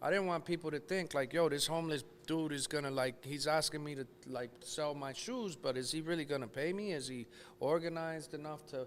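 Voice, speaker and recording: A man with an American accent talks at a fairly quick pace in an unremarkable speaking voice. His pitch is fairly high, with ordinary variation. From New Jersey. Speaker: sneaker store owner. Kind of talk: podcast interview.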